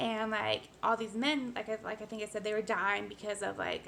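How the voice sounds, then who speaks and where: A fairly quick delivery against noticeable background noise. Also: woman. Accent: American. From United States. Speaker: vlogger. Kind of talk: personal vlog monologue. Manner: fast; casual, many fillers.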